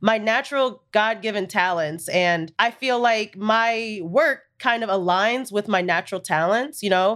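Here is an unremarkable speaking voice, fairly slow, its pitch varying in an ordinary way. No background sound intrudes on this very clean recording. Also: woman, fairly high pitch for a woman. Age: 20s. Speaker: social media producer. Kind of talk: casual chat.

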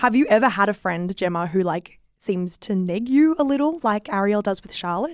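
A woman with an Australian accent, medium in pitch, with very wide pitch swings. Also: moderate pace, hardly any pauses. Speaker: podcast host. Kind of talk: casual chat. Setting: studio.

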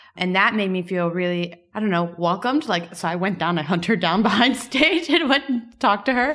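Speaking at a fairly quick pace with hardly any pauses, a woman with an American accent uses lively intonation over noticeable background noise. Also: medium pitch for a woman. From US, Miami. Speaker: podcast co-host, startup co-founder. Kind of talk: interview. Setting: at a tech conference.

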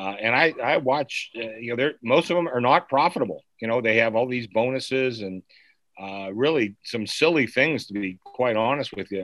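A man talks in an ordinary speaking voice, with medium pitch, ordinary pitch variation and a moderate pace. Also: quiet background. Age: 60s. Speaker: sportsbook bookmaker. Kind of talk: interview.

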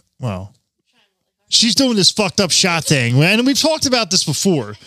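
A man's voice with very wide pitch swings. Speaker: podcast host. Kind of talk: casual banter podcast. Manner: profane, joking.

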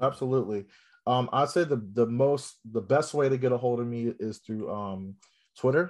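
A man speaks in an unremarkable speaking voice with an American accent, against a quiet background. His medium pitch moves with ordinary pitch variation at a moderate pace. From Central Virginia. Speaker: assistant principal. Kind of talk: casual interview chat.

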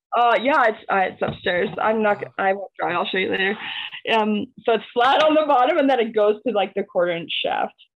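This is an ordinary speaking voice. A woman with a fairly high pitch talks at a moderate pace. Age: 30s. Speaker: maker and small business owner. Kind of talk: casual chat.

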